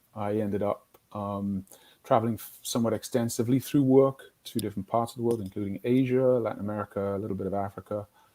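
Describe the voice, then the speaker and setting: The tone is dark and mellow, with fairly even intonation. Delivery comes at a very fast pace. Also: man, fairly low pitch for a man. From northeast England, Newcastle. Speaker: business executive, company co-founder. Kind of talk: interview.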